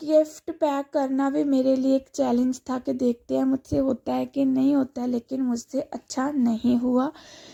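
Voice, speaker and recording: A woman's high-pitched voice, dark and mellow in tone, at a very slow pace, dry and close with no echo. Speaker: vlogger. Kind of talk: casual vlog narration.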